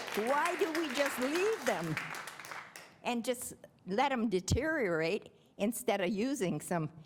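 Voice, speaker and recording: Over crowd noise in the background, a woman with fairly high pitch speaks at a fairly slow pace with long, frequent pauses, very wide pitch swings and very even loudness. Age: 80s+. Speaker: resident speaking at public comment. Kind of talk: public comment at village board meeting. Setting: village board meeting. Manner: halting, with repeated words.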